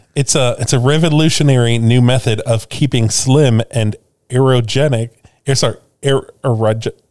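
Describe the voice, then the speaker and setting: A plain, everyday voice with an American accent moves at a moderate pace. Its intonation is fairly even and its loudness very even. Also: man, medium pitch for a man. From US Midwest, Chicago. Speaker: podcast co-host. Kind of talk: casual chat.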